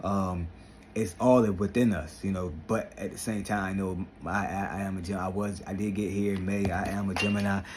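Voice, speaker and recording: A man's fairly low voice with audible room echo. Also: moderate pace. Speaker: vlogger and motivational speaker. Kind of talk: motivational vlog talk. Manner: animated.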